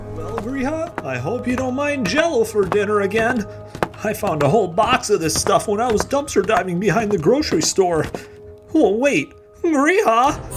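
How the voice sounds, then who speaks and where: Against clear music in the background, a man uses a put-on character voice pitched high, talking at a moderate pace. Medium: audio drama.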